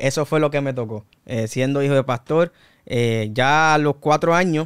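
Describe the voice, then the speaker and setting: The recording is very clean, with a silent background. A man with a Puerto Rican accent speaks with fairly even intonation. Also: dry, close sound with no echo. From Puerto Rico, Canóvanas area. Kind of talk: casual interview, faith testimony.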